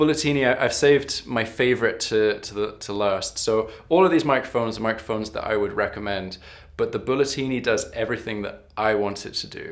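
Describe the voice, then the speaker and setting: His pitch shifts in an ordinary way. It is a man's voice. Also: quiet background. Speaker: harmonica teacher. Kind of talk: product review talk. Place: home room.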